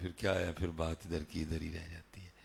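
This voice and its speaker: A man's somewhat breathy voice at a very deep, low pitch, monotone, flat intonation, in a very clean recording with a silent background. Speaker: Islamic preacher. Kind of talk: religious sermon. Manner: emotional.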